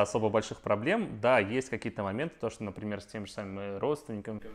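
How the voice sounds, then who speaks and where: A man's medium-pitched voice at a very fast pace. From Russia. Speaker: IT worker. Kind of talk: casual chat.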